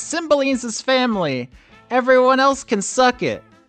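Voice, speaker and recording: With music in the background, a man in a put-on character voice projects a raised, shrill, extremely high-pitched delivery at a moderate pace with ordinary pitch variation. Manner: mocking, dismissive.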